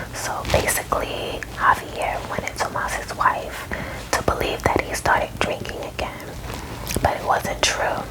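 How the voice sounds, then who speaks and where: A whispering woman at a fairly slow pace, with noticeable background noise. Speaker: ASMR storyteller. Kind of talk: ASMR movie recap ramble. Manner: whispered.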